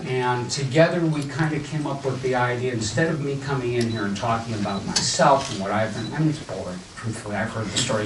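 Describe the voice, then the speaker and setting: A man speaks at a fairly quick pace in a General American accent, his pitch medium. Noticeable background noise and audible room echo are present. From US Midwest, Ohio. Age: old. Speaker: entrepreneur and event speaker. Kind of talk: talk to a live audience. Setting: stage with audience. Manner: casual.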